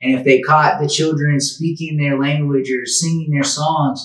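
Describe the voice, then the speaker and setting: Somewhat breathy and monotone, a man with a fairly high pitch speaks at a fairly slow pace. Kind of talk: interview questions.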